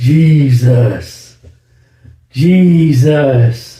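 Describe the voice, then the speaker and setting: In a put-on character voice, a man bellows loudly at a medium pitch, with a slight echo. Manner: bellowing, loud.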